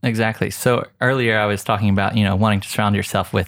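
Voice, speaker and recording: A man with an Oklahoma accent talks very fast in a fairly low pitch with fairly even intonation. The recording is very clean, with a silent background. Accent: American, Oklahoma. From US, Oklahoma. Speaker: photographer and filmmaker. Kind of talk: casual interview.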